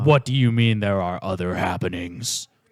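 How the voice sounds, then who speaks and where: Putting on a growling character voice, a man speaks at a fairly low pitch and a moderate pace. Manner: growling, incredulous.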